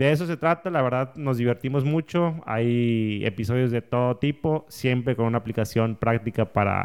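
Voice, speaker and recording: A man's medium-pitched voice, an ordinary speaking voice, at a moderate pace with ordinary pitch variation, on a very clean recording with a silent background. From northern Mexico, Saltillo. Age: 30s. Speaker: entrepreneur and podcaster. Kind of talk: casual interview. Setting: podcast studio.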